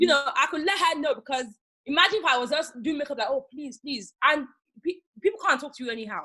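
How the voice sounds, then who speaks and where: Very fast and high-pitched, a woman speaks in a raised, projected voice with a bright, sharp tone, lively intonation and big swings in loudness. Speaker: makeup artist. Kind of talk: casual interview. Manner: animated.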